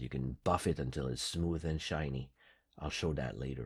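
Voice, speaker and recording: Vocal fry runs through this man's speech at a moderate pace. The recording is very clean, with a silent background. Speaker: craft tutorial creator. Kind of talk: tutorial. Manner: casual, some hesitations.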